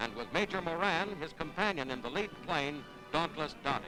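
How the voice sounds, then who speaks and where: With music in the background, a man at a fairly high pitch talks at a moderate pace with lively intonation. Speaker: newsreel narrator. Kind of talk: wartime newsreel narration.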